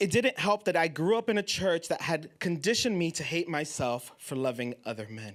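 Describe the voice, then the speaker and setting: Here is a man talking. His pitch swings very widely. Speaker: poet. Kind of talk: spoken word essay reading.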